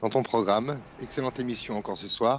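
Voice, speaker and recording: A man at a moderate pace with ordinary pitch variation, in a dry sound with no echo and light background noise. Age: 40s. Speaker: caller. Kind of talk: casual chat. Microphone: video call.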